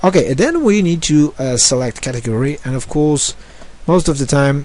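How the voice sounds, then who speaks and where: Speaking at a moderate pace with a non-native accent, a man uses a medium pitch and ordinary pitch variation. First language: not English. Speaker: online marketing tutor. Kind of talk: screen-share tutorial. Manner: halting, many fillers.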